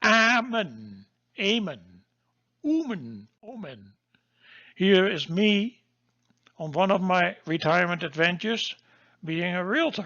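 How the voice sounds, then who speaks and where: Speaking in a Dutch accent at a high pitch, a man moves at a very slow pace with lively intonation and long, frequent pauses. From Netherlands. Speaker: geologist and course instructor. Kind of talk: lecture. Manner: halting.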